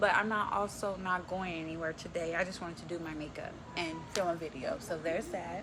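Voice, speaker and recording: A speaker with an American accent talks with ordinary pitch variation over noticeable background noise. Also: woman. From Texas. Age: 20s. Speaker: beauty vlogger. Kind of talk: makeup tutorial. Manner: casual, chatty.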